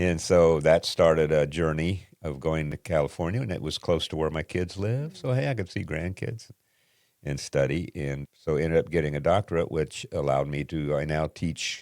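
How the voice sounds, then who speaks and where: A man's very deep, low voice at a moderate pace with ordinary pitch variation, dry and close with no echo, on a very clean recording with a silent background. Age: 80s+. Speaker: retired pastor. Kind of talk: casual interview.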